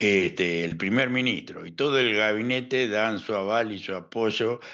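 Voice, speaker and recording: The voice belongs to a man. He uses ordinary pitch variation. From La Plata, Argentina. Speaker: historian and analyst. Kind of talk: interview answer.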